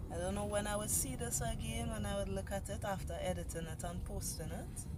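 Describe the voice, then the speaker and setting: The pace is fairly quick. Noticeable background noise runs under the speech. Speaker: vlogger. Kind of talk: personal video journal. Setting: in a vehicle.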